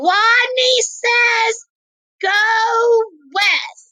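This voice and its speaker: Squeaky and pitched extremely high, a woman performs a put-on character voice. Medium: read story.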